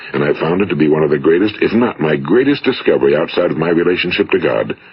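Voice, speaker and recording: Over noticeable background noise, a man with a very deep, low voice talks very fast with lively intonation. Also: very even loudness. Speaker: motivational speaker. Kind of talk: motivational talk, recorded lecture. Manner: measured, earnest, authoritative.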